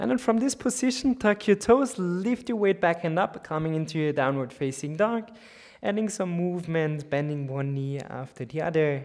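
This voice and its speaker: In an Austrian accent, a man talks at a moderate pace with a high pitch. His pitch swings very widely. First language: German. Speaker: yoga teacher. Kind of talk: guided yoga class.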